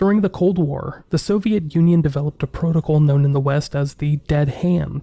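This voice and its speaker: A man talks at a fairly quick pace in an unremarkable speaking voice, pitched fairly high. The recording is very clean, with a silent background. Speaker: podcast host. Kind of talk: mystery podcast narration.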